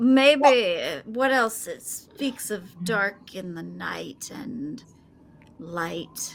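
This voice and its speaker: A female-sounding put-on character voice goes at a very slow pace and a fairly high pitch. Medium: actual play. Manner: confident, decisive.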